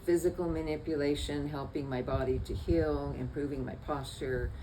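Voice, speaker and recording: A woman speaks with audible room echo and noticeable background noise around her. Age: 80s+. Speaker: patient. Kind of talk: testimony. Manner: halting.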